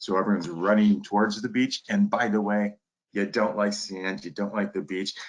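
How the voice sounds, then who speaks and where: At a moderate pace, a man with an Upper Midwest accent speaks in a fairly low pitch with ordinary pitch variation. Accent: Upper Midwest American. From Detroit area, Michigan. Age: 60s. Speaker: turfgrass professor. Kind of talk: lecture. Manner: animated.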